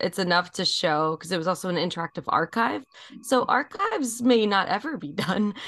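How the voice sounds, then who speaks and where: A woman with an American accent and a normal speaking voice talks at a fairly quick pace, at medium pitch, with lively intonation. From New York, Rockland County. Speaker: multimedia artist and harpist. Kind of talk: interview.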